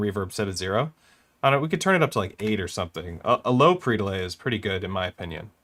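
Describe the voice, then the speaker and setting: Over a silent background on a very clean recording, a man with a fairly low pitch talks very fast with lively intonation. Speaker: music production youtuber. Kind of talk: live-streamed tutorial. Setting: live stream.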